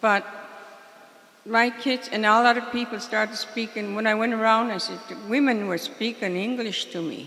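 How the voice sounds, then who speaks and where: Over noticeable background noise, a woman speaks at a fairly high pitch and a moderate pace. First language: Mi'kmaq. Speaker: community elder. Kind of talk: spoken remarks at a community meeting.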